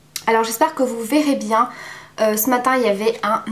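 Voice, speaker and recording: Fairly high-pitched, a woman talks at a fairly quick pace with ordinary pitch variation. Noticeable background noise can be heard. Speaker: beauty vlogger. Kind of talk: product review. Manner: hesitant, many fillers.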